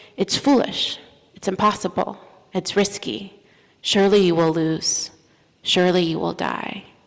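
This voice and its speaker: A woman's medium-pitched voice with vocal fry, ordinary pitch variation, a fairly slow pace and long, frequent pauses. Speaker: minister / preacher. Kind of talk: sermon delivered from a pulpit.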